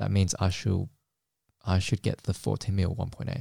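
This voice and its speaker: A man speaks at a moderate pace in a very deep, low pitch with a dark, mellow, somewhat breathy tone. The recording is very clean with a silent background and a dry, close sound with no echo. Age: 20s. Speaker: podcast host and photographer. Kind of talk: casual chat.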